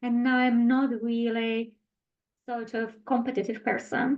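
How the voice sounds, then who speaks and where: At a fairly slow pace, a woman speaks with a high pitch in a Czech accent. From Czech Republic. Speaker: health and wellness specialist. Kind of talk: interview.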